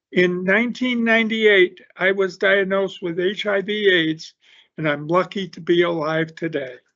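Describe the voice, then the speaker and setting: A man with a high voice talks at a moderate speed, his intonation fairly even. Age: 70s. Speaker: medical marijuana patient and advocate. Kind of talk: public testimony.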